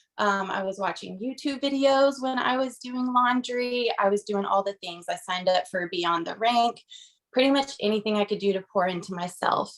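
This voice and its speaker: A shaky, nervous-toned woman with an American accent, lively intonation and a moderate pace. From US South, Georgia. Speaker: direct sales consultant. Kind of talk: testimony.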